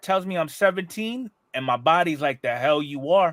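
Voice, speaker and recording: This is a man with a normal speaking voice and fairly high pitch. He talks at a moderate pace with lively intonation. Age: 40s. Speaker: podcast host. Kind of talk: casual chat.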